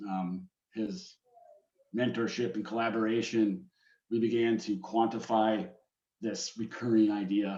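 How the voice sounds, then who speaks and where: A man with an Upper Midwest accent speaks at fairly low pitch and a fairly slow pace. He takes long, frequent pauses. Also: ordinary pitch variation. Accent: Upper Midwest American. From Wisconsin, Green Bay. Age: 40s. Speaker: automation engineer, amateur forecaster. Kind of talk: presentation in meeting. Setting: call.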